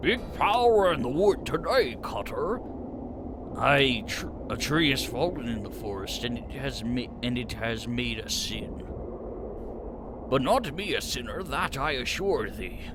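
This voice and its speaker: Through loud background noise, a man uses a put-on character voice, talking at a fairly slow pace with long, frequent pauses. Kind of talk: mock-archaic fantasy speech. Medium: virtual streamer. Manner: solemn, stilted, archaic.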